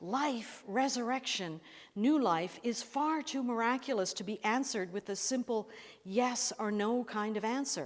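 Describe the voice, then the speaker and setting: A woman with an unremarkable speaking voice, fairly high pitch and ordinary pitch variation. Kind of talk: sermon delivered to a congregation.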